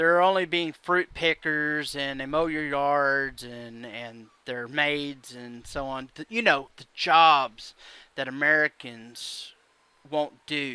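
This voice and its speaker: A man in an Alabama accent speaks very slowly with a bright, sharp tone and a fairly high pitch showing ordinary variation. His loudness swings widely on a very clean recording with a silent background. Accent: Southern US (Alabama). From Alabama, US South. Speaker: YouTube commentator. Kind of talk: opinion vlog rant. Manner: halting, many fillers.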